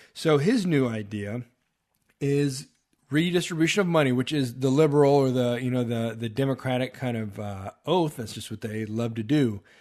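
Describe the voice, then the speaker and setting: A man speaks with a Texan accent. His pitch is medium. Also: ordinary pitch variation, moderate pace. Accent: Texan American English. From Texas. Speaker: podcast host. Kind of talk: political commentary monologue. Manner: hesitant, many filler uhs.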